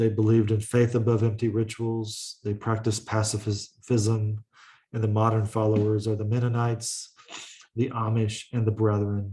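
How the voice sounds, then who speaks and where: In a dark, mellow tone, a man speaks at a fairly low pitch and a moderate pace. His delivery is monotone and flat, and somewhat breathy. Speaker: college lecturer. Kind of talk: lecture. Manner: halting, with frequent uh fillers.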